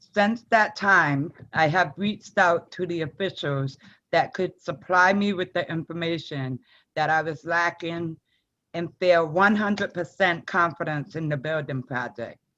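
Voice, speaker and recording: A woman's fairly low, bright, sharp voice at a fairly slow pace. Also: ordinary pitch variation, quiet background. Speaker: school committee member. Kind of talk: prepared statement at public meeting. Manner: halting, stuttering.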